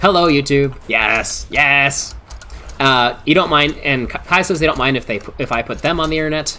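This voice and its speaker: A man with a bright, sharp tone and vocal fry, fairly high in pitch, at a fairly slow pace. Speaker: VTuber streamer. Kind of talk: casual live-stream chat. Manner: stuttering, halting; relaxed.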